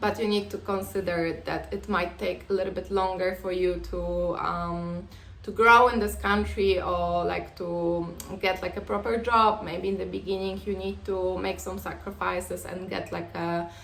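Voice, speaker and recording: In a Polish accent, a woman speaks at a moderate pace. Noticeable background noise and audible room echo accompany her. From Poland. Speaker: vlogger. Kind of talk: casual advice talk to camera. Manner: hesitant, many fillers.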